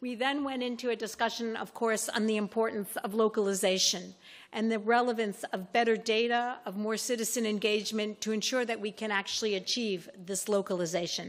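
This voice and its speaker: With an ordinary speaking voice, a woman talks at a fairly high pitch and a fairly quick pace, with hardly any pauses and fairly even intonation, on a very clean recording with a silent background. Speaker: panel moderator. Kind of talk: panel moderation.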